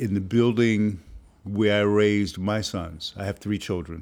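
A man with an unremarkable speaking voice speaks at a fairly low pitch with fairly even intonation. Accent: American. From New York (Harlem). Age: 60s. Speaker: filmmaker and professor. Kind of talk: interview.

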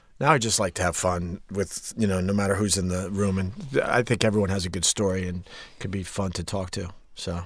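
Very deep and low in pitch, a man speaks at a fairly quick pace. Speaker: radio show host guest. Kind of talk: casual conversation interview.

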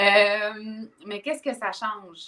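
The tone is bright and sharp, and the delivery comes at a fairly slow pace. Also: woman. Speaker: personal development coach. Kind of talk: casual interview chat. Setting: livestream.

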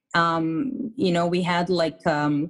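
A woman talks with an Israeli accent. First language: Hebrew. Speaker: fitness coach. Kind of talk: interview.

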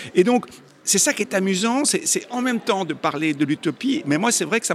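At a moderate pace, a man with a high voice makes very wide pitch swings. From Belgium. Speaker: comic book artist. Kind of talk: interview.

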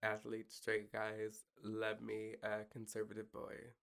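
A plain, everyday voice: a man with an American accent at medium pitch and moderate pace. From southern Kansas. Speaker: comedian. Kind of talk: casual chat. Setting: studio.

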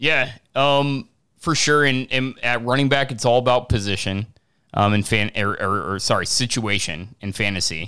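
On a very clean recording with a silent background, a man with a bright, sharp tone talks at a moderate pace and medium pitch, his pitch varying in an ordinary way. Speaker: sports podcast host. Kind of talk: casual sports talk show.

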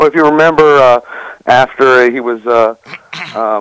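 A man has a plain, everyday voice at a medium pitch. He talks fairly quickly in a dry, close sound with no echo. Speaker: author. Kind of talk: interview.

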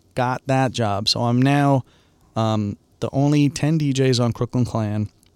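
In a very clean recording with a silent background and a dry, close sound with no echo, a man with an American accent and a normal speaking voice talks at a medium pitch with fairly even intonation. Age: 40s. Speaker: DJ and producer. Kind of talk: casual chat. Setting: studio.

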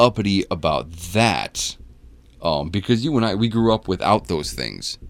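A man talks at a fairly slow pace with a fairly low pitch. His voice carries vocal fry. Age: 40s. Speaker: podcast co-host. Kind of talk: casual chat.

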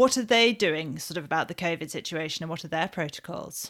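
A woman speaks very fast with a British accent. Her pitch is fairly low, with ordinary variation. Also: very clean recording, silent background. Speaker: podcast host and magazine editor. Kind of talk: interview and news round-up chat.

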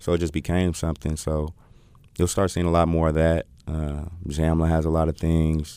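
A man's very deep, low voice, dark and mellow in tone, with monotone, flat intonation. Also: moderate pace. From Oakland, California. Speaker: rapper. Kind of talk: casual interview.

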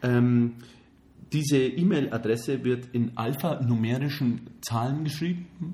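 A man speaks in a somewhat breathy, medium-pitched voice with a slight Bavarian accent. His pace is fairly slow. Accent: faint Bavarian, barely noticeable. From Bavaria, Germany. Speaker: podcast co-host. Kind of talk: casual chat. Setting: studio, hosts face each other.

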